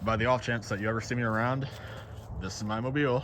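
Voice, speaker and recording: With audible room echo, a man talks at a fairly quick pace in a fairly low pitch. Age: 20s. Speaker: vlogger. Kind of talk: casual vlog recap. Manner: casual, chatty.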